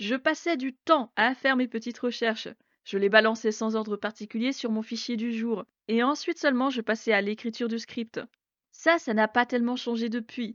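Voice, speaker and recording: At a moderate pace, a woman speaks with fairly even intonation and a fairly high pitch. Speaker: education podcaster. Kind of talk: scripted podcast monologue.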